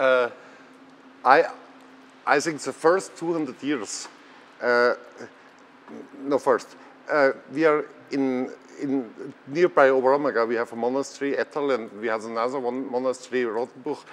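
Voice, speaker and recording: This man, at a medium pitch and with a German accent, talks at a moderate pace with fairly even intonation and long, frequent pauses. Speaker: theatre director. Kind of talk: interview. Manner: halting.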